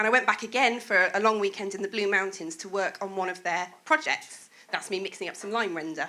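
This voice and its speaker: A woman with a Welsh accent talks at a fairly quick pace with hardly any pauses. Her pitch is medium, with ordinary variation. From Wales. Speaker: presentation speaker. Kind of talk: presentation talk.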